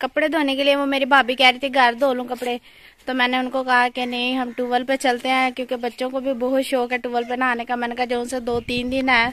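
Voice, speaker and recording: A woman speaks at a high pitch and a moderate pace, her intonation monotone and flat. The sound is dry, with no echo. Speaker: village vlogger. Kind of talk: casual vlog chat. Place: farm. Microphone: phone near.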